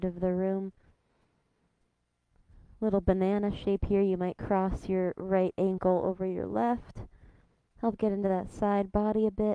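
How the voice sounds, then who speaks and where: A woman's dark, mellow tone, flat and monotone at a fairly slow pace, dry with no echo against a quiet background. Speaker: yoga instructor. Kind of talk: guided yoga instruction. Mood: calm, soothing. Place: hall.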